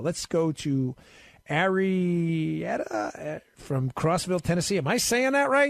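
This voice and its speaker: With an American accent, a somewhat breathy man speaks in very wide pitch swings over a quiet background. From US Northeast, New York and Maryland. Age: 40s. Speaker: guest radio host. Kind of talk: talk radio. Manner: fast.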